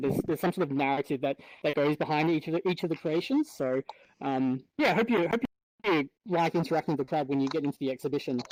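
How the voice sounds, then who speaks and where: In an Australian accent, a man speaks very fast at a fairly high pitch with very even loudness, the sound dry and close with no echo. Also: ordinary pitch variation. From Australia (Victoria). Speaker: multimedia developer and VR artist. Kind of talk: panel discussion. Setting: virtual reality event. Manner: halting.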